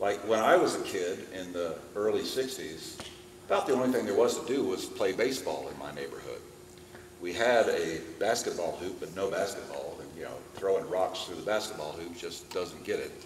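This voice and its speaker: Audible room echo and noticeable background noise surround a man who speaks at a moderate pace, his loudness swinging a lot. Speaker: presenter and luthier. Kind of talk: lecture.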